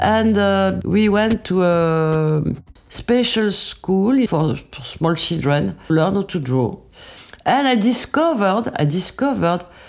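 A woman's fairly low voice in a French accent, with lively intonation at a fairly slow pace. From France, Paris region. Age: 70s. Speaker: makeup artist. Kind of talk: testimony. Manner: halting.

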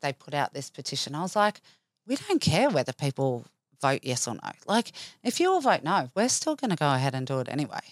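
With an Australian accent, a woman speaks at a fairly quick pace with very wide pitch swings, her voice dry and close with no echo in a very clean recording with a silent background. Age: 40s. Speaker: cancer survivor. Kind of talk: interview, personal story.

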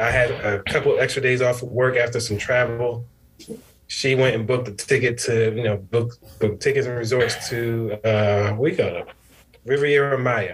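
With noticeable background noise behind him, a man speaks at a medium pitch and a moderate pace in monotone, flat intonation. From Connecticut, New Haven. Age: 30s. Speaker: father, scholarship program manager and realtor. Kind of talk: casual interview chat.

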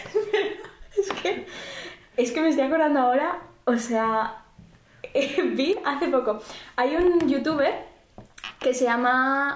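Long, frequent pauses break up a woman's lively intonation, and audible room echo surrounds her voice. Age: 20s. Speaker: podcast co-host. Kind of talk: casual chat.

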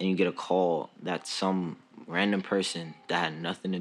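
Noticeable background noise sits behind a man with a New York accent. His very deep, low voice moves at a moderate pace. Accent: New York City. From New York City, the Bronx. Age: 20s. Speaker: podcast host, student. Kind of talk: casual chat.

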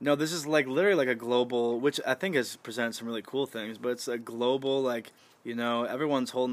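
Using a normal speaking voice with an American accent, a man speaks at a fairly quick pace and a medium pitch with fairly even intonation. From Michigan. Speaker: podcast guest, host's housemate. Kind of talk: casual chat. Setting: front porch at home.

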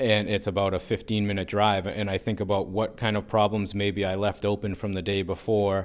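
With an American accent, a man talks in a fairly low, monotone, flat voice with hardly any pauses. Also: moderate pace. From US Northeast, north of Boston. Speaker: customer service manager. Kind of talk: personal story interview; reading a letter aloud. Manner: halting.

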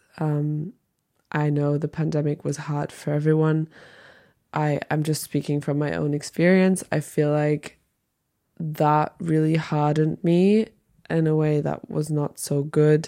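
In a German accent, the speaker delivers monotone, flat intonation at a fairly slow pace, with a dark, mellow tone on a very clean recording against a silent background. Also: woman, very deep, low pitch for a woman. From Germany. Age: 20s. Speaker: podcaster and aspiring actress. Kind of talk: casual unedited solo monologue. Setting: bedroom, solo recording. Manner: halting, reflective.

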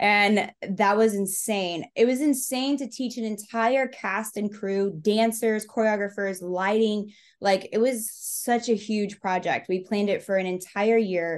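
A woman's fairly high-pitched, an ordinary speaking voice with an American accent, at a fairly slow pace with hardly any pauses, against a quiet background. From Texas. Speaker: speed painter and performance artist. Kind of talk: interview, casual chat.

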